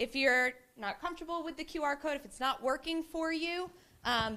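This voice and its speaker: A woman projects her voice in a raised, bright, sharp tone. Her pace is moderate and her pitch variation ordinary. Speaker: committee member, workshop facilitator. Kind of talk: interactive presentation. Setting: meeting room with audience. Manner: loud.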